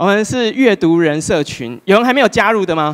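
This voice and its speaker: This man talks at a moderate pace. The background is quiet. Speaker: speaker. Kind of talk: public talk. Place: hall. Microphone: handheld.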